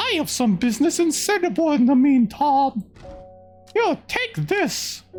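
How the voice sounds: A put-on character voice over faint music in the background.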